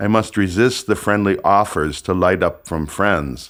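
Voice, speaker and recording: Captured in a very clean recording with a silent background, a man with an American accent speaks at a very deep, low pitch with vocal fry. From United States. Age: 70s. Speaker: author reading his own book. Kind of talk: audiobook reading of a personal memoir.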